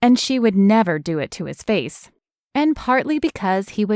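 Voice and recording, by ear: Against a quiet background, lively intonation colors reading aloud in a natural voice.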